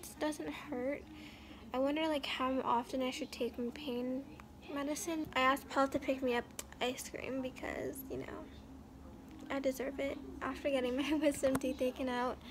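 Over noticeable background noise, a woman speaks in a monotone, flat intonation at a moderate pace, leaving long, frequent pauses. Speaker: vlogger. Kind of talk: casual vlog chat. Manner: drowsy, slow speech lying down. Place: home room. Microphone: phone near.

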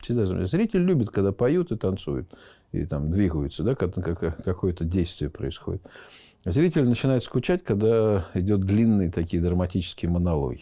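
A man's very deep, low voice, dark and mellow in tone, with lively intonation at a fairly quick pace over a quiet background. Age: 50s. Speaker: theatre school rector, former dancer. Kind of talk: interview. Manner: hesitant, with many filler words. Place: office. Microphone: lapel.

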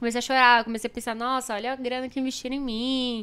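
Words come at a very fast pace from a woman. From Brazil. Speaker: streamer and show presenter; streamer, presenter. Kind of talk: casual chat. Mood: animated, candid storytelling. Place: studio. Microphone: studio mic.

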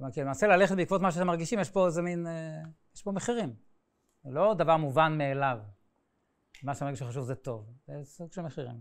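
Over a quiet background, a man talks at a very fast pace in a fairly high pitch, with lively intonation, big swings in loudness and long, frequent pauses. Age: 60s. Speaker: painter and art teacher; art teacher. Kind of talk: lecture. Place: classroom.

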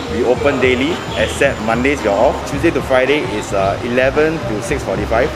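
Clear music plays in the background while a man talks at a very fast pace. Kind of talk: interview answer. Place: market.

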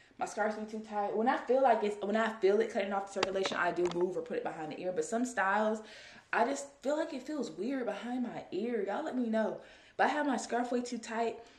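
A woman speaking at a very fast pace, with audible room echo. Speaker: vlogger. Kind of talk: casual vlog chat. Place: home room. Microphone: phone near.

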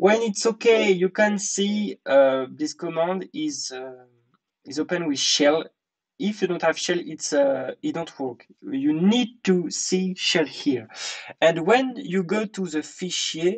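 In a French accent, the speaker talks at a very slow pace. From France. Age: young. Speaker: tech tutorial youtuber. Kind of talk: tutorial. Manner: halting; apologetic.

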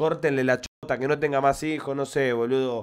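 A man speaks with fairly even intonation over a quiet background. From Argentina. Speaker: football fan commentator. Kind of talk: angry fan rant. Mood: frustrated, angry rant. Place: home room. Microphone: studio mic.

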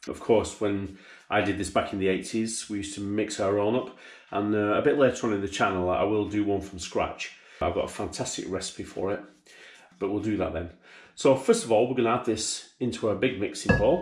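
There is audible room echo. A man with a fairly low pitch speaks at a fairly quick pace, his pitch varying an ordinary amount. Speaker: butcher demonstrating recipe. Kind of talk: tutorial. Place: kitchen.

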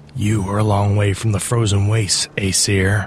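Using a put-on character voice at fairly low pitch, a man speaks at a moderate pace in a monotone, flat intonation over clear background noise.

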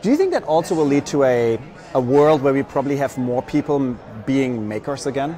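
With music playing in the background, a man speaks fairly quickly in a fairly high pitch. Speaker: startup program executive and interviewer. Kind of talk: live event interview. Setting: live stream from conference floor. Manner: enthusiastic, filler-heavy.

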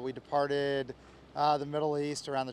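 The man's voice is recorded dry, with no echo. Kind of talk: interview answer. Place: street. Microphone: handheld.

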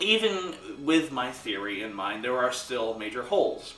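As a man talks, light background noise and audible room echo can be heard. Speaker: film fan vlogger. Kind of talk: casual vlog commentary. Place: home room.

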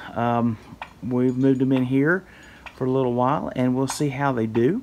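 A man speaks at a fairly slow pace. Light background noise is present. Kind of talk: casual vlog chat. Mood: relaxed, pleased. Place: farm machine. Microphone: phone near.

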